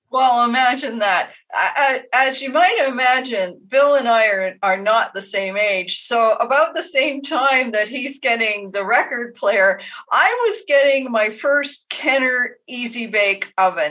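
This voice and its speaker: A woman with a Canadian accent keeps a fairly slow pace with hardly any pauses. Her high pitch moves with lively intonation. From Canada, Toronto. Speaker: radio show co-host. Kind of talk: casual chat.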